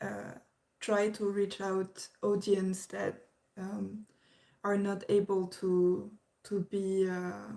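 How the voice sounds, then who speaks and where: A woman's dark, mellow tone, delivered at a very slow pace with monotone, flat intonation. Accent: French. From France. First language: French. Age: 20s. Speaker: YouTube reactor. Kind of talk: livestream chat. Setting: livestream at parents' house. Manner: halting.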